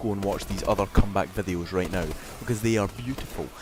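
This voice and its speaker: A man with a Scottish accent, music playing in the background. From Scotland. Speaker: gaming commentator. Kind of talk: gameplay commentary. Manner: animated.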